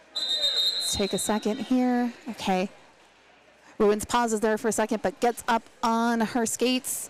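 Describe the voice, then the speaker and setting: A woman's fairly high voice in an American accent, at a fairly slow pace with very even loudness, over noticeable background noise. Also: ordinary pitch variation. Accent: Pittsburgh accent, filtered out. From Pittsburgh, US. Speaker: roller derby announcer. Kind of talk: live sports commentary.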